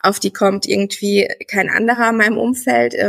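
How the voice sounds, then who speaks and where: At a moderate pace, a woman talks in a medium pitch with a dry, close sound and no echo. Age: 30s. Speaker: former coaching client, pregnant woman. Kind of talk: interview.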